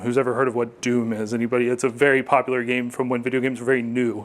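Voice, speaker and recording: This man's pitch sits in the medium range. He speaks very fast. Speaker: marketing technology strategist and conference speaker. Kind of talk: conference talk. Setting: stage with audience. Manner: animated.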